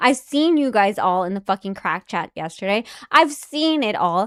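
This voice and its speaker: At a moderate pace, a woman speaks with a dry, close sound and no echo. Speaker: livestream host. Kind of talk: livestream chat rant. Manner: loud.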